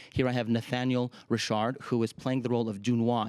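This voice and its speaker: In a dry, close sound with no echo, a man speaks fairly quickly at a medium pitch with monotone, flat intonation. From Ukraine, Kharkiv. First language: Russian. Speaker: opera singer and artistic director. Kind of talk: TV interview.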